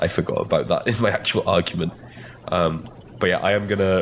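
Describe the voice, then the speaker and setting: With a slight Welsh accent, a man speaks at a fairly quick pace in a very deep, low pitch. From Wales. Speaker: podcast co-host. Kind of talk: casual banter chat. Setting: video call, traveling in the US. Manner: loud speaker.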